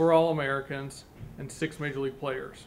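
Flat, monotone intonation from a man over light background noise. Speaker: university athletics official. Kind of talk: formal introduction. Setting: press conference room with media. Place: meeting room.

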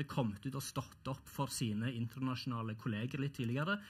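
Over a quiet background, a man speaks in a somewhat breathy voice. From Norway. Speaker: professor; panel debater. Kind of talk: panel debate. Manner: halting, repeats words. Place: stage. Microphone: headset.

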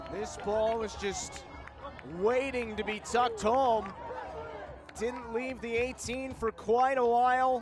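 Over noticeable background noise, a man with an extremely high pitch talks at a very slow pace, his intonation fairly even and his pauses long and frequent. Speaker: live match commentator. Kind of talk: live sports commentary, play-by-play call of a soccer match. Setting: stadium broadcast booth.

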